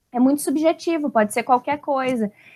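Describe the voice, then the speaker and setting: This woman speaks at a moderate pace with a high pitch and ordinary pitch variation. The recording is very clean, with a silent background and a dry, close sound that has no echo. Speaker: literature teacher. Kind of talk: video lesson. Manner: animated.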